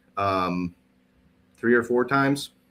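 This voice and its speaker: A man with a Midwestern accent talks at a fairly slow pace. The recording is very clean with a silent background. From US Midwest. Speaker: podcast co-host. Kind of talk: casual chat.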